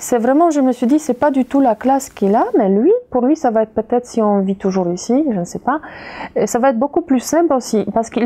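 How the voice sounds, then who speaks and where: A woman with a Polish accent talks at a fairly quick pace in a high pitch with a dark, mellow tone and lively intonation. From Poland, Kraków. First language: Polish (speaking French). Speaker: interviewee, immigrant mother. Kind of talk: interview. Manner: halting, many hesitations.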